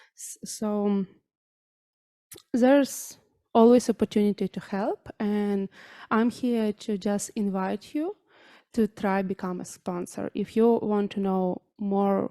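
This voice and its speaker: A woman with a Ukrainian accent speaks at a medium pitch, very slowly, with long, frequent pauses. The recording is very clean, with a silent background. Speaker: charity volunteer. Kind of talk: public address. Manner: halting.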